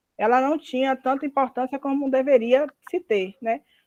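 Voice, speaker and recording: A woman's voice, high in pitch. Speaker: university lecturer. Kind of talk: lecture. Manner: halting.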